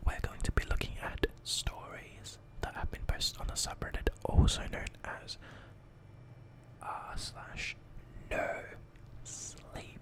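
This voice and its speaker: Whispering at a very slow pace with long, frequent pauses, against noticeable background noise. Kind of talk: casual talk to camera introducing stories. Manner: nervous, occasionally stuttering.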